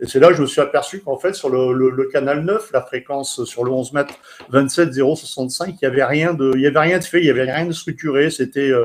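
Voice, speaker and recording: The man's fairly high voice rushes along very fast, keeping a fairly even intonation while background noise is noticeable. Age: 60s. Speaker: CB radio enthusiast and author. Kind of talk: personal account on a radio event. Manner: halting, many hesitations.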